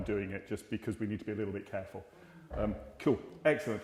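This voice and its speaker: In an English accent, a man speaks at a very fast pace. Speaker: GP (family doctor). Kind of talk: Q&A talk to community audience. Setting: hall with live audience, filmed.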